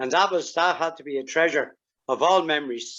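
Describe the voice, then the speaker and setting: Talking at a moderate pace in a Dublin accent, a man keeps a high pitch and fairly even intonation. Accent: Irish (Dublin). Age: 70s. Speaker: karate master. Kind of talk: interview.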